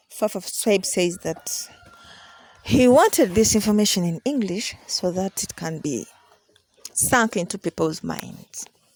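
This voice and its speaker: The speaker has a Ugandan accent and lively intonation at a fairly slow pace. The sound is dry and close, with no echo. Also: woman, medium pitch for a woman. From Uganda, Buganda region. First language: Luganda. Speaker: traditional spiritual teacher. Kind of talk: teaching session.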